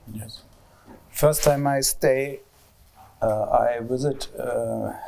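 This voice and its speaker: A man speaks with a German accent. His pace is very slow. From East Germany. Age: 50s. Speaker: sculptor. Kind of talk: public talk interview. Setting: public event with audience. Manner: halting, hesitant.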